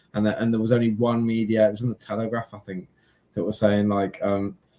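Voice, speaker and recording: A man speaks with a dark, mellow tone at a fairly low pitch. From English Midlands, south of Birmingham. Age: 30s. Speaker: live streamer. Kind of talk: casual chat. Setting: live stream.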